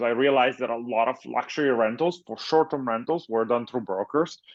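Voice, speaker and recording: A man's fairly quick, medium-pitched voice with an Italian accent and ordinary pitch variation. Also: hardly any pauses. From Italy. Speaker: tech startup founder and CEO. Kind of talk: interview.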